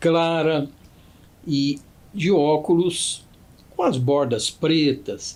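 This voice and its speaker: A man speaks. His pace is very slow. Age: 60s. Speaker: judge. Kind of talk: podcast interview, formal explanation. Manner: formal.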